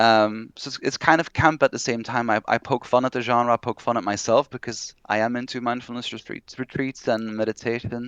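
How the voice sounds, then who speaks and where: A man with a Flemish accent speaks at a fairly quick pace and medium pitch in a monotone, flat intonation, the sound dry and close with no echo over a quiet background. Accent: non-native English, Flemish. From Belgium (Flanders). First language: Dutch (Flemish). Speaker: horror novelist. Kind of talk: interview.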